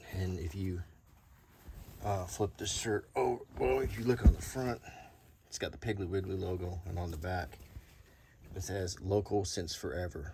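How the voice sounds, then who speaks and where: Soft-spoken and relaxed, a man with an American accent uses a very deep, low voice with a dark, mellow tone and vocal fry. His pitch varies in ordinary ways, with long, frequent pauses. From Alabama, US South. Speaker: YouTuber, show and tell host. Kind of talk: casual show and tell. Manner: relaxed, unhurried.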